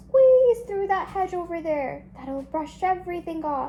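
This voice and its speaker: A woman uses a put-on character voice at an extremely high pitch. Her voice is raised and projected. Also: fairly slow pace. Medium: read story.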